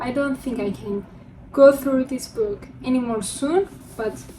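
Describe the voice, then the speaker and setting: A woman with a non-native accent speaks at a very slow pace in a high pitch. Noticeable background noise can be heard. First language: not English. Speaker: book vlogger. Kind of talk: casual chat.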